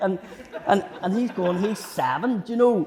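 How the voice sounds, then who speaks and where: A man talks at a moderate pace. He has a Belfast accent. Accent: Belfast Northern Irish. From West Belfast, Northern Ireland. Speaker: comedian. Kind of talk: podcast interview answer. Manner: storytelling, humorous.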